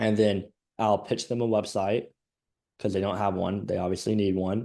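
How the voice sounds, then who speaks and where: Over a quiet background, a man speaks fairly quickly in a fairly low, dark and mellow voice with monotone, flat intonation. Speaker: marketing agency owner. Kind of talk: casual business chat.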